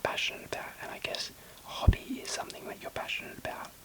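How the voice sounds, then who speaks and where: Over noticeable background noise, a man whispers at a very fast pace. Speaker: ASMR creator. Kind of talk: whispered ASMR ramble.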